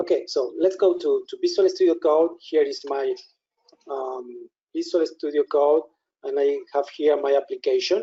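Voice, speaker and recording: A man with a Spanish accent, speaking at a moderate pace. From Spain. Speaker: software product specialist. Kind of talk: software demo tutorial. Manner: halting.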